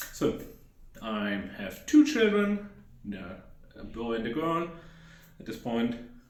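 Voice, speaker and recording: A fairly slow delivery in a German accent, with audible room echo. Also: man. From Germany, Hesse. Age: 30s. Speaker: YouTuber. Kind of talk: casual vlog talk. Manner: unscripted, rambling with fillers.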